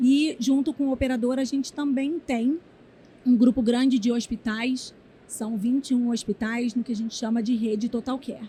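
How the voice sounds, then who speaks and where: The speaker talks in a Rio de Janeiro accent with fairly even intonation. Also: woman, high pitch for a woman, moderate pace. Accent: carioca (Rio). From Rio de Janeiro, Brazil. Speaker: HR executive. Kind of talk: interview. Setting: conference event.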